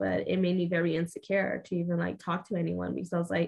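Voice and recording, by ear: A woman talks fast with a Mexican accent and a fairly low pitch that moves little. Her tone is slightly mellow, with vocal fry.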